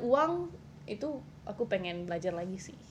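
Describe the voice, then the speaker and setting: This is a woman's voice. It has a somewhat breathy quality. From Qatar, Indonesian expat. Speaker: university graduate, housemate of host. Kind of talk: casual chat. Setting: home bedroom recording.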